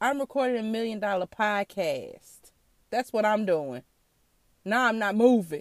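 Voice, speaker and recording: On a very clean recording with a silent background and a dry, close sound with no echo, a woman speaks at a fairly slow pace. Her tone is animated, her pitch fairly high, with ordinary pitch variation. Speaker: podcast host. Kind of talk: casual monologue. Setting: in a car.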